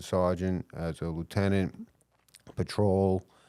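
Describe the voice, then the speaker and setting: In a New York accent, a man speaks in a very deep, low pitch with monotone, flat intonation on a very clean recording with a silent background. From New York (Queens / Long Island). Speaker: police chief. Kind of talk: podcast interview.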